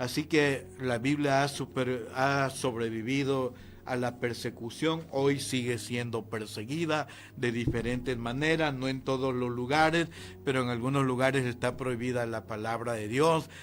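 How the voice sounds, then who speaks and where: In a room with audible echo, a man of medium pitch speaks at a fairly slow pace with fairly even intonation. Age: 60s. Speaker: pastor. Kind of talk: sermon. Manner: halting.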